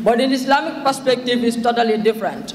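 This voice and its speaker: With audible room echo, a man speaks at a fairly quick pace in an extremely high pitch and a monotone, flat intonation. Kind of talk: formal speech. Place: hall. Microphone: podium.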